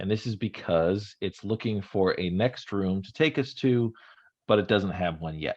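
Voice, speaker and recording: A man with a fairly low pitch talks at a moderate pace in an ordinary speaking voice, with ordinary pitch variation. The background is quiet. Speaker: workshop instructor. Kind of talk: tutorial.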